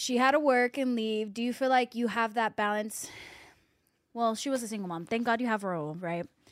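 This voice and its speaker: Speaking fairly quickly, a woman has an ordinary speaking voice with a fairly high pitch and ordinary pitch variation. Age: 20s. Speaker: podcast host. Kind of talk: casual interview chat.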